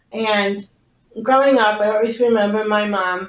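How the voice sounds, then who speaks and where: With monotone, flat intonation, the woman talks fairly slowly at a medium pitch. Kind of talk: interview.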